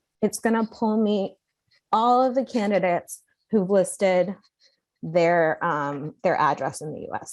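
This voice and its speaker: Over a quiet background, a woman with an unremarkable speaking voice talks at a medium pitch with lively intonation. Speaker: software trainer. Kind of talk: tutorial.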